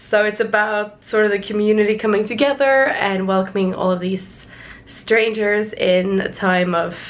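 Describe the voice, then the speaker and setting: Noticeable background noise sits behind a woman at a medium pitch. Her intonation stays fairly even at a moderate pace. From Norway. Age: 20s. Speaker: vlogger. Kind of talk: casual vlog talk to camera.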